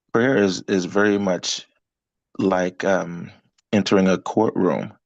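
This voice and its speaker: Against a quiet background, a man speaks very slowly in a fairly low pitch with fairly even intonation. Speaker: business coach. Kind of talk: group coaching call. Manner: soft-spoken.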